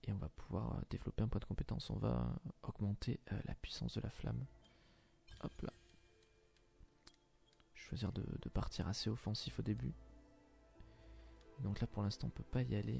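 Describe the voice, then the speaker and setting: Soft-spoken whispering at a moderate pace, with long, frequent pauses and music in the background. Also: man. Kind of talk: ASMR gameplay commentary. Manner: whispered, soft-spoken.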